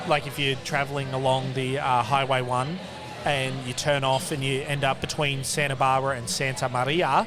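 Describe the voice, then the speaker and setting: A man with an Australian accent, fairly high in pitch, at a moderate pace, amid audible room echo and noticeable background noise. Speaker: craft beer podcast co-host. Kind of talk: casual chat. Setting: venue with people around.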